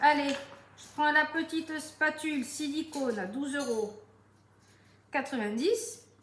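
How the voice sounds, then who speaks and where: Using lively intonation, a woman with a high pitch speaks in a southern French accent. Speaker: home sales consultant. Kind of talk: cooking tutorial live stream. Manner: chatty, lively.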